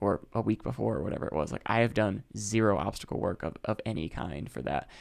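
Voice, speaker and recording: Speaking very fast with an American accent, a man shows vocal fry. The recording is very clean and the background silent. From US Midwest, Chicago. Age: 30s. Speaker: ultrarunner. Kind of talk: casual chat. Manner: halting.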